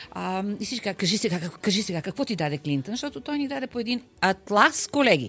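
At a fairly quick pace, a woman with a medium pitch speaks with very wide pitch swings. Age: 60s. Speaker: interpreter and translator. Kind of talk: interview. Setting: studio. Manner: halting, many fillers.

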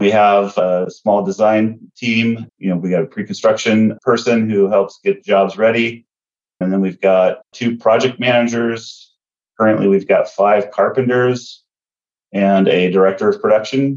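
Using an ordinary speaking voice, a man talks fairly slowly at a medium pitch with fairly even intonation. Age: 50s. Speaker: remodeling contractor and company owner. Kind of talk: casual interview.

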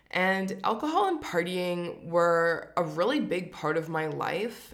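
In a Canadian accent, a woman speaks very slowly at a fairly low pitch. Audible room echo surrounds her voice. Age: 30s. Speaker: podcast host. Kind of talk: personal monologue.

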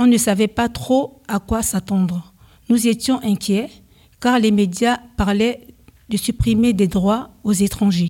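A somewhat breathy woman's voice, fairly high in pitch with a dark, mellow tone, fairly even intonation and a very slow pace, on a very clean recording with a silent background. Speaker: amateur radio host, French learner. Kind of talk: scripted radio presenting. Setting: stage with audience.

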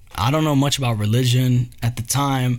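An animated, somewhat breathy man at a medium pitch and moderate pace, on a very clean recording with a silent background. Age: 30s. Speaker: solo podcast host. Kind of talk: casual monologue.

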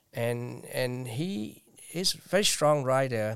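This man speaks at a medium pitch with a Vietnamese accent. His pitch varies in an ordinary way. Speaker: poet and librarian. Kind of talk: interview. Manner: halting.

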